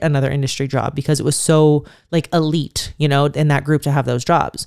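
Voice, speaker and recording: On a very clean recording with a silent background, a woman speaks fairly quickly in an animated tone. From US Midwest, Youngstown, Ohio. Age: 30s. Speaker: podcast host, mother of twins. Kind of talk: casual monologue rant.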